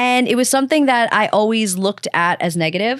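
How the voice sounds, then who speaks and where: A woman with a Long Island accent, fairly high in pitch, at a moderate pace, in a very clean recording with a silent background. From Long Island, New York. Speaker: podcast host. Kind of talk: casual interview chat.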